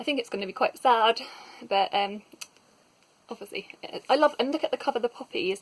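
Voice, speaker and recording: The speech is mumbled. Its pitch varies in an ordinary way. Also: woman. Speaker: book reviewer. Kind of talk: casual talk to camera. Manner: mumbly.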